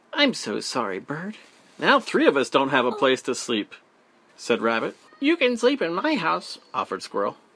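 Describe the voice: Someone does a plain reading aloud of the text.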